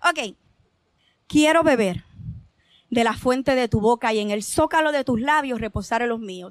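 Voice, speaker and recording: A woman with a high pitch speaks at a fairly slow pace, using lively intonation. Long, frequent pauses break up her speech in a very clean recording with a silent background. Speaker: poet. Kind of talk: poetry reading. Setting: open mic stage with audience.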